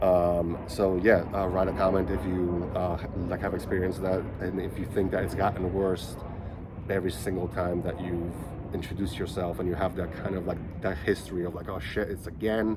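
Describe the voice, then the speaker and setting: With audible room echo and noticeable background noise, a man speaks in a very deep, low monotone at a moderate pace. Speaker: vlogger who stutters. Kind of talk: casual vlog talk. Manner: choppy, halting.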